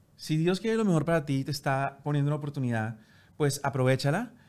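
Very fast in pace, this man's speech sits at a fairly high pitch. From Colombia, Bogotá. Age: 40s. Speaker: entertainment TV presenter; TV presenter. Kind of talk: interview conversation. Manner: halting, repeating words. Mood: reflective, storytelling. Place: studio. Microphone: studio mic.

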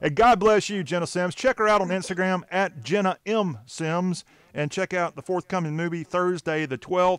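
Speaking in an American accent at a moderate pace, a man with a high pitch and ordinary pitch variation leaves hardly any pauses, his sound dry and close with no echo. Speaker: show host. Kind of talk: casual interview. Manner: jokey, laughs often.

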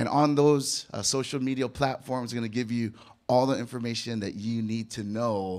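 The pace is moderate. It is a man who speaks. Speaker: pastor. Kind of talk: sermon. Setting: church with audience. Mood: warm, joking. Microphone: handheld.

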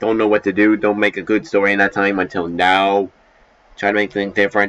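A man with a normal speaking voice and fairly even intonation. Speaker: amateur voice actor. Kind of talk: casual vlog chat. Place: home room. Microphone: headset.

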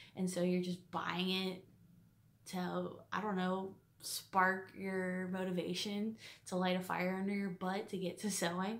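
The speaker talks at a fairly slow pace with monotone, flat intonation. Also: woman. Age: 20s. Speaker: quilting vlogger; quilting hobbyist vlogger. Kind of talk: casual vlog monologue; casual vlog chat. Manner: hesitant, many fillers. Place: home room. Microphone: phone near.

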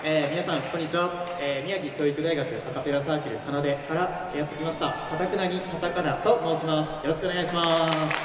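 A man talks at a very fast pace with audible room echo and crowd noise in the background. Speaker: band MC. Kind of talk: stage MC talk. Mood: polite, slightly nervous.

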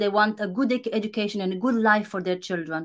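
A woman with a Romanian accent talks at a fairly high pitch with ordinary pitch variation over a quiet background. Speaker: content creator. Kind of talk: casual interview. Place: home room. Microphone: video call.

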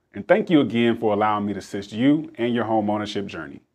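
A man with an American accent at a medium pitch, fairly quick and lively in intonation, over a quiet background. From South Carolina, Rock Hill; South Carolina. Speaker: loan officer. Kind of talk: scripted self-introduction. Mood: warm, sincere.

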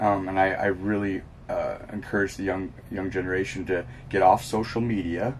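Over light background noise, a man with an American accent speaks at a moderate pace. His voice is somewhat breathy and fairly low in pitch. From California. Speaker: professional base jumper; interviewee. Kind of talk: interview. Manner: hesitant, many fillers. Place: home room.

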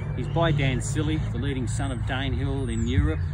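Loud background noise sits under a man's voice. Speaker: horse breeder and owner. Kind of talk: casual promo interview. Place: open country.

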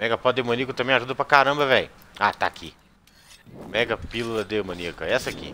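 Talking at a very fast pace yet with long, frequent pauses, a man of medium pitch shows ordinary pitch variation. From Brazil, Minas Gerais (Belo Horizonte). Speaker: gaming streamer. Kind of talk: live gameplay commentary. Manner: animated.

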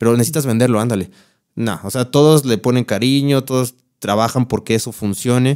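Fairly quick speech with a Mexico City accent and fairly even intonation plays over a quiet background. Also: man, medium pitch for a man. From Mexico City (Iztapalapa), later San Luis Potosí. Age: 30s. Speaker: content creator and guitarist. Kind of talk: casual chat. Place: studio. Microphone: studio mic.

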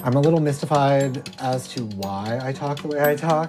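Clear music plays in the background as a man speaks at a fairly high pitch with ordinary pitch variation. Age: 30s. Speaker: documentary filmmaker. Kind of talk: documentary narration. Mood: puzzled, self-questioning. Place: home room.

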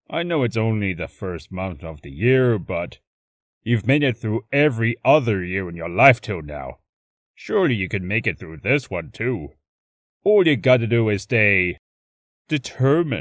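Using a put-on character voice, a man speaks at a moderate pace and medium pitch in a very clean recording with a silent background. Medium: voice reel. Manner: relaxed, casual.

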